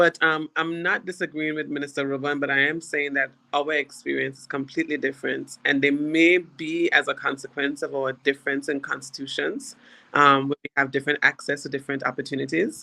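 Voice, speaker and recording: This woman's voice sits very deep and low, with a bright, sharp tone and an Anguillan accent. She speaks at a fairly quick pace with fairly even intonation. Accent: Anguillan Caribbean English. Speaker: government minister. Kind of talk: panel discussion. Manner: halting.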